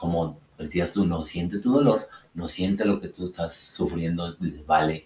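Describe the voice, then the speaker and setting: Very slowly and somewhat breathily, a man talks in a very deep, low voice. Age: 30s. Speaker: podcast co-host. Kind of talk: casual chat. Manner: halting.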